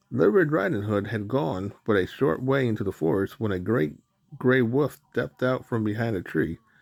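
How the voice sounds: Over a quiet background, a natural reading voice carries ordinary pitch variation.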